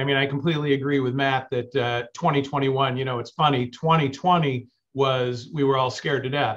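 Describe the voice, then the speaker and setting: A man with fairly even intonation and hardly any pauses, in a quiet background. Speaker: panelist. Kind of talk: panel discussion answer. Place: office. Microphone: video call.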